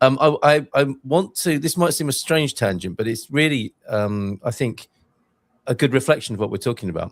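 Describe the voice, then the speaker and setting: A man speaks at a moderate pace in a normal speaking voice with lively intonation. The recording is very clean, with a silent background. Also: dry, close sound with no echo. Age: 60s. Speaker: podcast host. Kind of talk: podcast interview.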